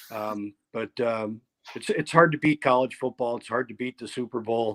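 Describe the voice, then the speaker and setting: A man speaks at a moderate pace in a medium pitch. The sound is dry and close, with no echo. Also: fairly even intonation, big swings in loudness. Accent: American. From upstate New York (Ithaca). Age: 60s. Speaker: company president, event business. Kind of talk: interview. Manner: halting, many repetitions.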